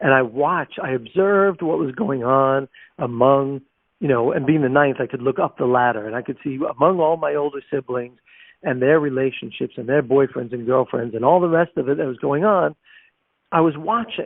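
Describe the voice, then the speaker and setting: A man speaks in a plain, everyday voice with a fairly high pitch. He keeps a moderate pace with ordinary pitch variation. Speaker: international speaker, trainer and author. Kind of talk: podcast interview.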